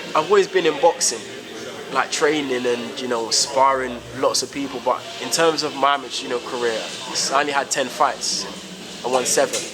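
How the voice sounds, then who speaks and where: A man with a South London accent talks at a fairly quick pace, his fairly high pitch showing ordinary variation, broken by long, frequent pauses. Music plays in the background, and room echo is audible. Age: 20s. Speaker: professional boxer. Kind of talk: interview. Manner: halting, many fillers.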